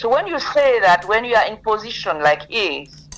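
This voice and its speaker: A woman talks with lively intonation. Noticeable background noise can be heard. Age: 80s+. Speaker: lawyer. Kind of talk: interview.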